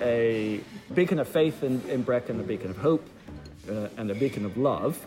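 A man with lively intonation amid noticeable background noise. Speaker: vicar. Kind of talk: interview. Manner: optimistic, conversational.

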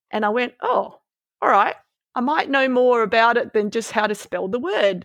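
Recorded very cleanly against a silent background, a woman with an Australian accent and a high pitch speaks at a moderate pace. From Malaysia, raised in Melbourne from age twelve. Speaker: veterinarian. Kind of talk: interview conversation. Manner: hesitant, with fillers and repeats.

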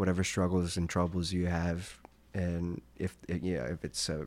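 In a very clean recording with a silent background, a man with an American accent speaks at a moderate pace in a very deep, low pitch with monotone, flat intonation. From California (San Francisco, Los Angeles). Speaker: classical violinist. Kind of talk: casual interview.

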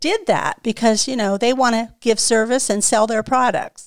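In a very clean recording with a silent background and a dry, close sound with no echo, a woman with a fairly high pitch talks at a moderate pace with ordinary pitch variation in an ordinary speaking voice. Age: 60s. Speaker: salon owner. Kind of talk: casual chat.

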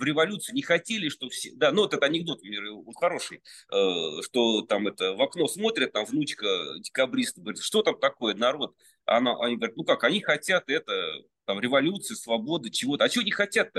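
A man talks at a very fast pace with very wide pitch swings. Vocal fry runs through his voice. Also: fairly high pitch for a man. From Russia, Penza region. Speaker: sculptor. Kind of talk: casual interview chat. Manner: halting, many fillers.

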